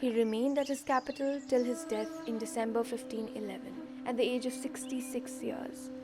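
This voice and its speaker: Over music in the background, a woman with a high pitch talks at a moderate pace with hardly any pauses and monotone, flat intonation. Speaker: narrator. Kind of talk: documentary-style myth narration.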